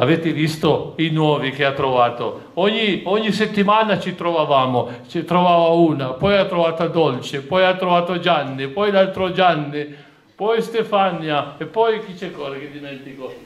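Talking at a moderate pace, a man uses a high pitch with ordinary variation and big swings in loudness. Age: 60s. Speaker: farmer; candidate. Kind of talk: campaign speech. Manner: rambling. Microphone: podium.

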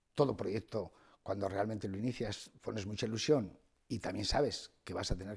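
A somewhat breathy man speaks at a fairly quick pace against a quiet background. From Spain, Soria (Ágreda); Soria, Spain. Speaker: bank executive; interview guest. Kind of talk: TV interview. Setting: TV studio. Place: studio. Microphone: lapel.

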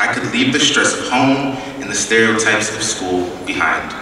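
Strong room echo surrounds the voice, along with light background noise. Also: man. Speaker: speaker. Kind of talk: prepared speech. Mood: earnest, reflective. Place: hall. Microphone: podium.

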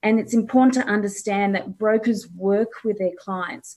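Over a quiet background, a woman with a fairly high pitch speaks in a somewhat breathy, dark, mellow tone. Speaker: mortgage broker; panelist. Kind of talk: talk; interview answer. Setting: video call. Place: home room. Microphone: webcam.

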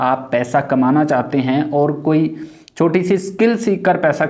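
Over a quiet background, a man talks at a fairly slow pace with ordinary pitch variation. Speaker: online earning tutor. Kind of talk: tutorial intro to camera. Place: home room. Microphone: lapel.

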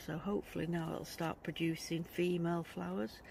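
Light background noise accompanies a dry sound that has no echo. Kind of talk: casual vlog chat. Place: garden. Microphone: phone near.

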